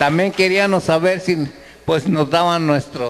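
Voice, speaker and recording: Over crowd noise in the background, a man talks at a high pitch with ordinary pitch variation. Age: 80s+. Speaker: former farmworker. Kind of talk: audience remarks. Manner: halting.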